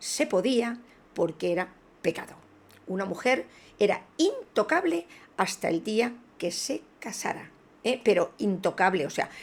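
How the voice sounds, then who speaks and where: With long, frequent pauses, a woman speaks at a fairly slow pace in a fairly high voice that makes very wide pitch swings. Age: 60s. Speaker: spiritual video blogger. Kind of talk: video monologue. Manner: hesitant with fillers.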